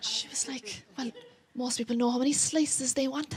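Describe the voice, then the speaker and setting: A woman speaks in a raised, projected voice. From Ireland, County Cork. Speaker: comedian. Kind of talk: stand-up. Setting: stage with audience. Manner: animated.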